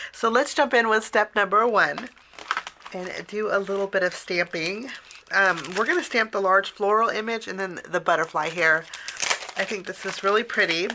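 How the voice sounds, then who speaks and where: Against noticeable background noise, a woman speaks at a moderate pace and medium pitch with ordinary pitch variation. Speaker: cardmaking tutorial creator. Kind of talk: tutorial. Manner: casual, chatty with fillers.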